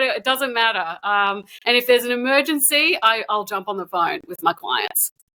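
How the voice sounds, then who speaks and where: This raised, projected voice moves at a moderate pace and has a bright, sharp tone. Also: woman. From Australia. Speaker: dating coach. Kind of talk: podcast interview. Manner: hesitant, with fillers.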